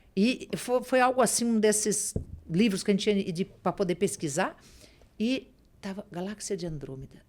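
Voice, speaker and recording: In an unremarkable speaking voice, a woman with a medium pitch talks at a moderate pace with lively intonation. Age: 60s. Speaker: spiritual medium and author. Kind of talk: podcast interview.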